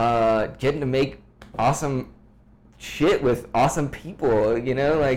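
At a fairly slow pace, a man with an American accent uses a plain, everyday voice of medium pitch, with fairly even intonation and very even loudness. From US, Washington DC suburbs. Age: 30s. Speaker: musician and photographer. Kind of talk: casual chat.

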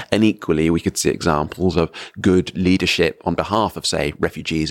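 A man speaks in an English accent at a fairly quick pace. The sound is dry and close with no echo, and his intonation is fairly even. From England. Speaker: professor. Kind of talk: conversational interview. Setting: conference venue.

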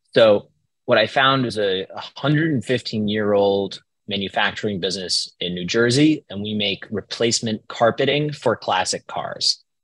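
A man speaks in an ordinary speaking voice at a fairly slow pace, fairly low in pitch with ordinary pitch variation, in a dry, close sound with no echo. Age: 20s. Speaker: business owner and entrepreneur. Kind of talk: casual interview.

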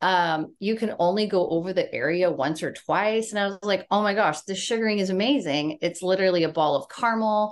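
With a Californian accent, a woman speaks at a medium pitch with ordinary pitch variation, at a fairly quick pace with hardly any pauses. The recording is very clean, with a silent background. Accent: Californian American. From US West Coast (San Diego, California). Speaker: beauty business founder. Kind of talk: interview.

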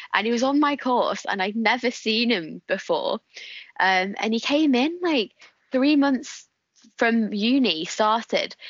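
A woman with a high voice talks fairly slowly in a strong northern English accent. Her intonation is lively and her loudness very even. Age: 20s. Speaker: guest. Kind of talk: casual chat.

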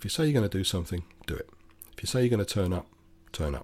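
Somewhat breathy, the speaker goes at a very fast pace on a very clean recording with a silent background. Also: man. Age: 60s. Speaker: podcaster, former motor mechanic. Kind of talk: solo opinion monologue.

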